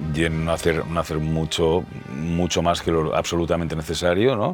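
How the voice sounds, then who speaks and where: Over music in the background, a man with a very deep, low pitch talks in a relaxed tone at a moderate pace. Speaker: voice actor. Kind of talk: interview answer. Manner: relaxed, conversational.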